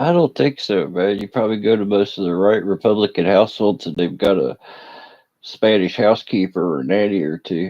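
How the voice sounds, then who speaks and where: A man with a strong Appalachian accent talks at a fairly quick pace and a fairly low pitch. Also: ordinary pitch variation. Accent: strong Appalachian rural. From West Virginia, Appalachia. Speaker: fireworks streamer. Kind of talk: casual live stream chat.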